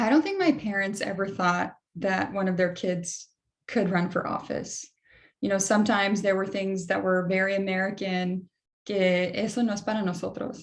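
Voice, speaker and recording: Here a woman speaks at medium pitch. She keeps a moderate pace. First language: Spanish. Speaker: political candidate, panelist. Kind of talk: panel discussion. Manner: animated.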